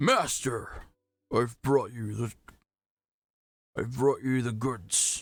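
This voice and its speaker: A put-on character voice delivered at a very slow pace. Long pauses come often. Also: man, medium pitch for a man. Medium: game stream. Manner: stammering, hesitant.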